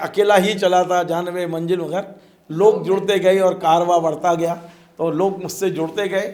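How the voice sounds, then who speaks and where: Fairly even in intonation, the man's voice rides at a high pitch. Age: 60s. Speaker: journalist and channel founder. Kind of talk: interview.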